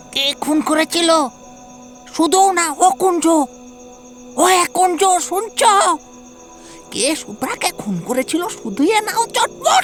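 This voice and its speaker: A put-on character voice speaks quietly at a fairly slow pace. Clear music plays in the background. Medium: audio drama. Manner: hushed, urgent.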